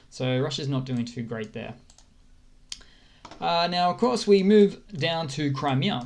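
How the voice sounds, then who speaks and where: In an Australian accent, the speaker goes at a fairly slow pace with long, frequent pauses. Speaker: news commentary YouTuber. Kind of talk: casual news update over a map. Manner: halting, many fillers and restarts.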